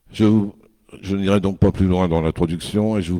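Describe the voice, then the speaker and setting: On a very clean recording with a silent background, a man speaks at a very deep, low pitch in a dark, mellow tone with ordinary pitch variation. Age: old. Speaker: senior councillor chairing a town council meeting. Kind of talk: formal meeting address.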